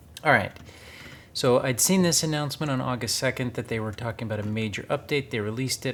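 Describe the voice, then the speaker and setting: Ordinary pitch variation from a man in an American accent. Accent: very American, kind of Midwestern. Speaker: gaming YouTuber. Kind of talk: gameplay commentary. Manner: enunciates carefully for voice recognition.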